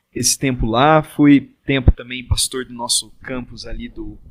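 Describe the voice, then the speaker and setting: This man has a plain, everyday voice at a medium pitch. He keeps a moderate pace with fairly even intonation. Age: 20s. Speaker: pastor. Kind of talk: casual chat.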